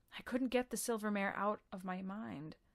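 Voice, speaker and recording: A plain, everyday voice from a woman, medium in pitch, moderate in pace, with typical pitch movement. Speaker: audiobook narrator. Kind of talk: audiobook narration, first-person story reading.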